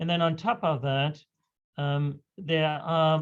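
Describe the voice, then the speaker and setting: With fairly even intonation, a man speaks at a fairly high pitch. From Germany. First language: German. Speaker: physician, hematologist. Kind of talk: lecture. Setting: video call.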